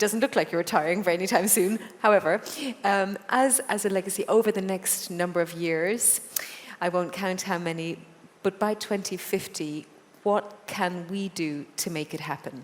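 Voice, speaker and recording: The speaker has an Irish accent and a moderate pace with ordinary pitch variation. Noticeable background noise runs underneath. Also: woman, medium pitch for a woman. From Ireland. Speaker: TV presenter and moderator. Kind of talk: interview moderation.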